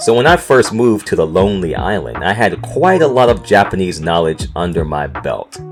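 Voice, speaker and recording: Over music in the background, someone with an American accent speaks at a fairly slow pace. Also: man. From North Carolina, USA. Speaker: podcast host. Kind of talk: casual podcast storytelling.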